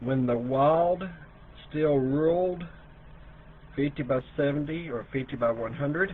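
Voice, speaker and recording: A man's voice at a fairly slow pace, with ordinary pitch variation and long, frequent pauses. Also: fairly high pitch for a man. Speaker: online seller hosting live sale. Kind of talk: live sales stream. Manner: slow, repetitive.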